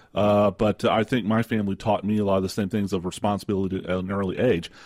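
With a Texan accent, a man speaks at a fairly low pitch and with fairly even intonation. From rural West Texas. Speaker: radio co-host. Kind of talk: talk radio discussion. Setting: radio studio. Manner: halting, many fillers.

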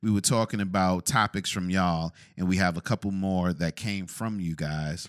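A man with an American accent and ordinary pitch variation, in a dry, close sound with no echo and a very clean recording over a silent background. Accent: New York accent, thickens when annoyed. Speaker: podcast co-host. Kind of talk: casual chat.

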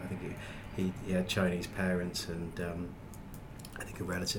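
This man speaks at a fairly quick pace. Noticeable background noise runs behind him. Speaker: podcast host. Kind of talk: casual chat.

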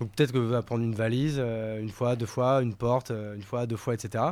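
Moving at a fairly quick pace, a man speaks in a medium pitch. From France, Paris and rural Marne. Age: 30s. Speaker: entrepreneur. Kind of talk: casual interview. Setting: in person, recording venue. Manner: casual, hesitant fillers.

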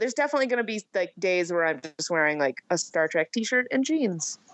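This woman talks fairly quickly, her pitch swinging very widely. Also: hardly any pauses. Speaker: podcast co-host. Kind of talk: casual chat. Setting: remote video or phone call.

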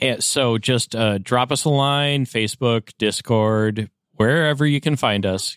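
A man at medium pitch with an American accent, an unremarkable speaking voice, ordinary pitch variation, and a fairly slow pace, in a very clean recording with a silent background. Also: dry, close sound with no echo. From US Upper Midwest. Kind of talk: casual chat.

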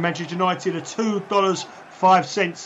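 There is noticeable background noise as a man talks with a high pitch. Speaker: betting analyst co-host. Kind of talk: live match commentary and betting analysis. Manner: measured, conversational, comments on the action as it happens.

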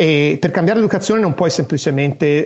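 Speaking at a very fast pace, a man shows vocal fry and ordinary pitch variation. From Italy. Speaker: software engineer. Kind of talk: interview.

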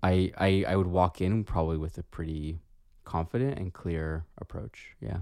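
Very deep and low, a man's voice has a dark, mellow tone, ordinary pitch variation and a moderate pace. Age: 30s. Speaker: podcast co-host, therapist. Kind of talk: casual chat. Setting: remote recording.

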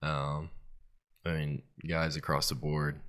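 Speaking in an American accent, a man's voice sits very deep and low. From Starkville, Mississippi. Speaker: college football player. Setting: studio. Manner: polite, short answers.

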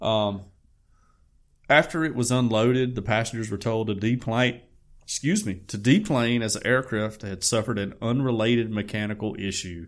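A man with a Southern US accent speaks at a moderate pace and medium pitch with fairly even intonation. The recording is very clean, with a silent background. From US South, Alabama. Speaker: podcast co-host. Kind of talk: reading news aloud; casual chat.

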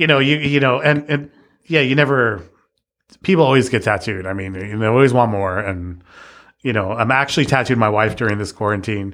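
With an American accent, a man talks at a fairly quick pace and medium pitch, showing ordinary pitch variation in an unremarkable speaking voice. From East Los Angeles. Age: 40s. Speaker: tattoo artist. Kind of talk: casual chat.

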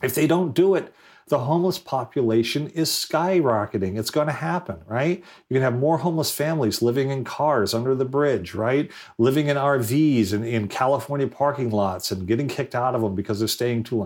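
Speaking fairly quickly, a man with an American accent uses a plain, everyday voice at a medium pitch with lively intonation. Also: very clean recording, silent background. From Rhode Island, US. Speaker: government technology advisor and former mayor. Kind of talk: interview.

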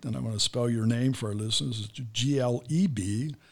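In a very clean recording with a silent background, a man with an American accent uses an ordinary speaking voice at medium pitch with ordinary pitch variation. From United States. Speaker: podcast host. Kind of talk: interview. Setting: studio.

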